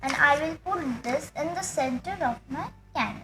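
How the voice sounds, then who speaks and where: A raised, projected voice at a fairly slow pace amid noticeable background noise. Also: woman. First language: Marathi. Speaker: craft youtuber. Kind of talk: tutorial. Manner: halting.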